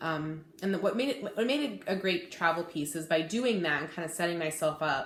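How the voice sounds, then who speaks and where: There is audible room echo and noticeable background noise as a woman speaks at a fairly low pitch. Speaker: cross-stitch video blogger. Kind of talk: casual hobby vlog. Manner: fast; hesitant, many fillers.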